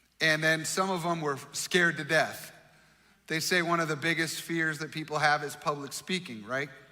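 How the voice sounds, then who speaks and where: A bright, sharp tone at a moderate pace, fairly even in intonation, with audible room echo. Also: man, fairly high pitch for a man. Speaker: pastor. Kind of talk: sermon.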